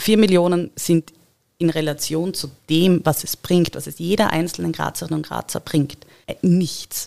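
In a dry, close recording with no echo, a woman speaks at a fairly slow pace with a dark, mellow tone, a fairly low pitch and fairly even intonation. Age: 30s. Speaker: local election candidate and engineering project manager. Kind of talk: podcast interview.

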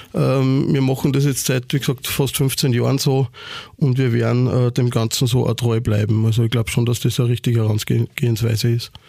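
Somewhat breathy, a man speaks in a dark, mellow tone with fairly even intonation. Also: medium pitch for a man, moderate pace, very even loudness. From Austria, Upper Austria (Ried im Innkreis). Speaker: nightclub owner and event promoter. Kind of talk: casual interview.

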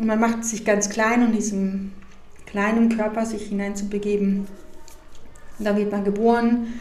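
A woman with a fairly high voice talks at a moderate pace, leaving long, frequent pauses. Her delivery is flat and monotone, with noticeable background noise and audible room echo. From Mexico. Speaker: funeral director. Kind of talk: interview.

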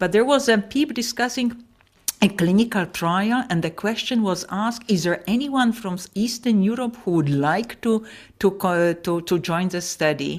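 In a Polish accent, a woman speaks at a medium pitch on a very clean recording with a silent background. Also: moderate pace. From Poland. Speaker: professor of paediatric gastroenterology. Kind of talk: interview.

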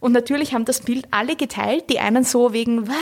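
An ordinary speaking voice with fairly even intonation, delivered at a fairly quick pace. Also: woman. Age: 30s. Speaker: cultural studies scholar and author. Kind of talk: interview.

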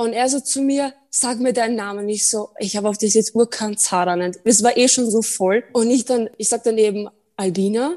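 Her pitch fairly high, a woman speaks in a normal speaking voice at a moderate pace with fairly even intonation. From Austria, Burgenland. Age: 20s. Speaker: podcast guest. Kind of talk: casual chat.

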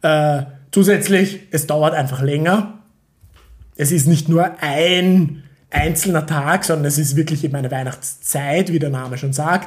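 A man with an unremarkable speaking voice, a fairly high pitch, fairly even intonation and a fairly slow pace. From Austria, Vienna. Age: 30s. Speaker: PhD student in chemistry. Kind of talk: casual chat. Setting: at home at dining table.

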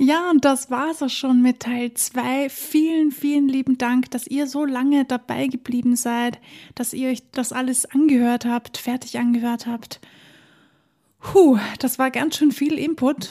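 With an Austrian accent, a woman talks at a fairly slow pace in a high pitch and with fairly even intonation. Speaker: podcast host and songwriter. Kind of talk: interview conversation with intro and outro.

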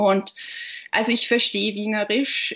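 Her speech comes very slowly. This woman's voice sits fairly high. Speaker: author and literary scholar. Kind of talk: interview. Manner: hesitant, many fillers.

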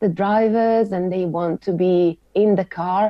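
Speaking fairly slowly with an Italian accent, a woman uses a fairly low pitch and ordinary pitch variation. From Italy, Sardinia. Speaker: motorsport aerodynamicist. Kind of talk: interview.

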